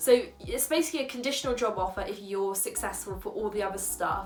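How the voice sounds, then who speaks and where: A woman with a London accent, fairly high pitch and fairly quick pace, with music in the background. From London, England. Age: 20s. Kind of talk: casual talk to camera.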